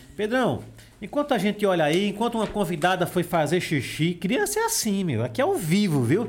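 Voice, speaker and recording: A man speaks at a fairly quick pace with a high pitch and lively intonation. His loudness stays very even. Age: 20s. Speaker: podcast host. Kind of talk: casual chat with children. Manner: animated.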